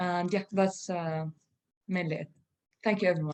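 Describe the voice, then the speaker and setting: A woman speaks in a medium-pitched voice. Her intonation is monotone and flat. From Israel. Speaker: teacher-researcher presenting at a conference. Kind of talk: conference Q&A reflection. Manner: halting, many fillers.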